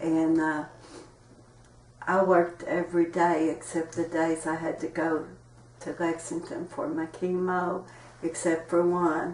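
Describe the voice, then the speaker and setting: In an Appalachian accent, a woman talks at a fairly slow pace with monotone, flat intonation and long, frequent pauses amid noticeable background noise. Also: fairly low pitch for a woman. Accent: Appalachian Kentucky. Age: 60s. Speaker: interviewee sharing health experiences. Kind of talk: interview testimony.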